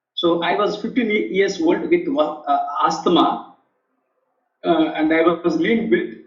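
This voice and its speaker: In a Telugu accent, a man talks at a very slow pace with very even loudness. Audible room echo surrounds his voice. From India. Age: 50s. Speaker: author and leadership professor, air force veteran. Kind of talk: interview testimony. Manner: halting, many repetitions and fillers.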